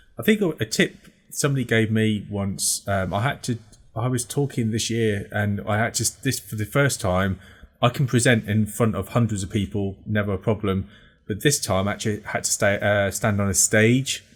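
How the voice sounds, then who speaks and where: Recorded very cleanly against a silent background, a man speaks with a fairly low pitch and ordinary pitch variation. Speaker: podcast host. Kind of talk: casual chat. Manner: fast.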